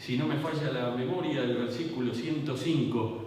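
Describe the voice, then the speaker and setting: A man speaks at a fairly slow pace with ordinary pitch variation. Audible room echo and noticeable background noise surround him. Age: 60s. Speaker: pastor. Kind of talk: sermon.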